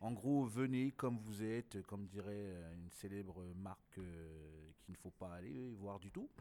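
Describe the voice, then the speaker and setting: A man's fairly low-pitched voice with a dark, mellow tone, fairly slow pace and ordinary pitch variation. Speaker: slam poet and event organizer. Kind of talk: casual interview.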